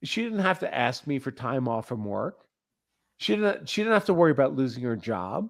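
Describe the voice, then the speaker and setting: Recorded very cleanly against a silent background, a man with a medium pitch talks at a moderate pace, his voice swinging very widely in pitch. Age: 50s. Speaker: stream guest, married father. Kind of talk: casual chat. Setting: live stream. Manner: halting, repeats words.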